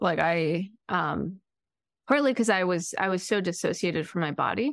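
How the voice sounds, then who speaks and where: A woman speaks in a plain, everyday voice at medium pitch, with lively intonation and a quiet background. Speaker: podcast co-host, therapist. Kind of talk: casual interview chat.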